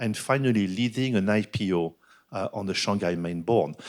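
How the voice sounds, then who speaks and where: Fairly low male voice with a French accent, ordinary pitch variation and a moderate pace, on a very clean recording with a silent background. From France. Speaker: business executive and board director. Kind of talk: keynote talk at a business forum.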